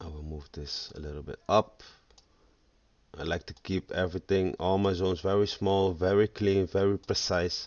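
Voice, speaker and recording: A man speaks in a very deep, low voice with a Dutch accent, at a moderate pace. His intonation stays fairly even, while his loudness swings widely. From Netherlands. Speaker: forex trader. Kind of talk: tutorial. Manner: halting.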